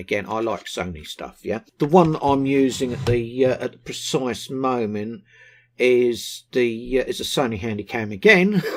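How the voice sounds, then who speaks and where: A man speaks at a medium pitch with a southern English accent. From southern England, West Sussex. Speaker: vaping product reviewer. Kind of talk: casual vlog talk to camera. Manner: hesitant, many ums and ahs.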